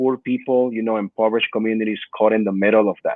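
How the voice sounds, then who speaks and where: With a Peruvian accent, a man talks at a fairly quick pace in a medium pitch. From Peru, then Perth Amboy, New Jersey. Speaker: immigrant rights activist. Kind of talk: podcast interview. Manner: many fillers (uh, you know).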